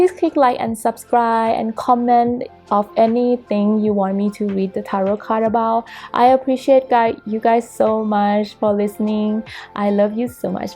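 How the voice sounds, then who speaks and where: Fairly slow speech in a non-native accent, with music in the background. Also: woman, fairly high pitch for a woman, ordinary pitch variation. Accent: non-native English, noticeable. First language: not English. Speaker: tarot reader. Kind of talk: tarot reading monologue. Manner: casual, halting.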